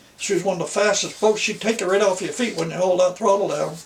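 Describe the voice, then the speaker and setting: A man speaks over noticeable background noise. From Nova Scotia. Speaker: former fisherman, folk artist. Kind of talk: storytelling interview.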